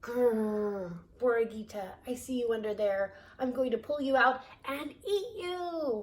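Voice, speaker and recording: A woman puts on a growling character voice at a high pitch. She goes at a fairly slow pace with lively intonation. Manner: menacing, predatory.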